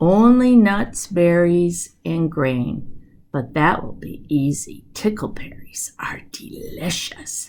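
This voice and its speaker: A woman's put-on character voice, whispering at a very slow pace. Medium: read story.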